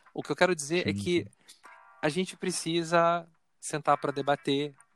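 With a Carioca accent, a man talks at a moderate pace in a dry, close sound with no echo. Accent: carioca Brazilian Portuguese. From Rio de Janeiro, north zone. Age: 40s. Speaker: researcher. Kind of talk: casual interview conversation.

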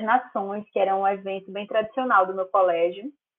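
A woman speaks at a fairly slow pace in a normal speaking voice. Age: 20s. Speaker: law master's student and court clerk. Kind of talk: casual interview.

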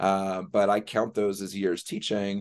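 A normal speaking voice at a fairly slow pace over a quiet background. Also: man. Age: 40s. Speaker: former volunteer and teacher. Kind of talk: casual chat.

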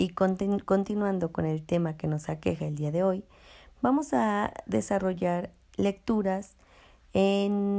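Over a very clean recording with a silent background, a woman's medium-pitched voice has a dark, mellow tone, a fairly slow pace and ordinary pitch variation. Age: 20s. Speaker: social worker presenting a workshop podcast. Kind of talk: scripted presentation. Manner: hesitant with fillers.

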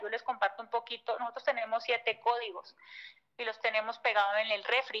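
A woman with a Colombian accent speaks at a fairly high pitch with fairly even intonation. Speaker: entrepreneur. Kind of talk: interview. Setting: phone call. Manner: fast.

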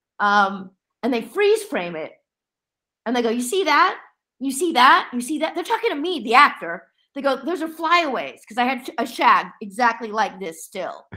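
In an American accent, a raised, projected voice with a bright, sharp tone moves through very wide pitch swings and big swings in loudness. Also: woman, high pitch for a woman, moderate pace, very clean recording, silent background. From Las Vegas, US. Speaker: actress and former journalist. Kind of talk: casual chat.

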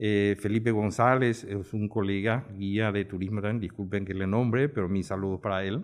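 A man talks at a moderate pace in a normal speaking voice, fairly low in pitch. He barely pauses, and his intonation stays fairly even. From Paraguay, Asunción. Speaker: tourism industry veteran. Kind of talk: round-table discussion.

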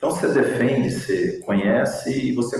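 A man is heard with noticeable background noise. Audible room echo surrounds his voice. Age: 40s. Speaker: logistics operations manager. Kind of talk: interview.

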